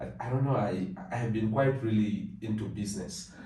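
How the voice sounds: A man's dark, mellow voice at a fairly low pitch and fairly quick pace, with audible room echo. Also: ordinary pitch variation.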